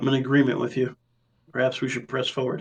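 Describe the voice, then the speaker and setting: In a raspy, put-on character voice, a man rattles off words at a very fast pace, his pitch medium and his intonation fairly even. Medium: actual play.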